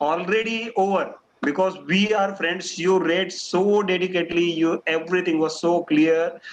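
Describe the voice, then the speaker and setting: A man with an Indian accent speaks at a fairly slow pace. His pitch is high, with ordinary pitch variation. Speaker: doctor and guest speaker. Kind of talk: talk at an online club meeting.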